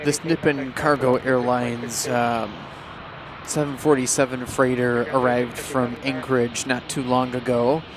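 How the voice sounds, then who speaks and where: Over noticeable background noise, the speech moves at a fairly slow pace in a monotone, flat intonation. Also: man, medium pitch for a man. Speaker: plane spotting livestream commentator. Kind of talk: live commentary.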